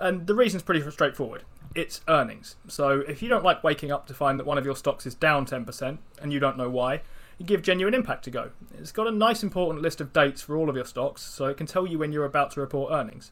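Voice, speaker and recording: Lively intonation and a very fast pace in a British accent. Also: man, fairly high pitch for a man. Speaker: investing podcast co-host. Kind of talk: casual chat.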